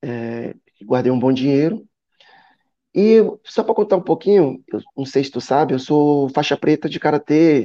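Pausing long and often, a man speaks fairly slowly in a dark, mellow tone at a fairly high pitch with lively intonation. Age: 30s. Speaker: business owner. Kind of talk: casual interview. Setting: live stream.

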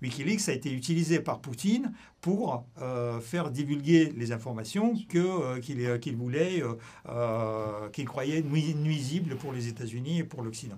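A man with a Russian accent speaks at a fairly high pitch in a dark, mellow tone that is somewhat breathy. The recording is very clean with a silent background. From Russia (Soviet Union). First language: Russian (speaking French). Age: 60s. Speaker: former intelligence officer. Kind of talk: interview. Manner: halting.

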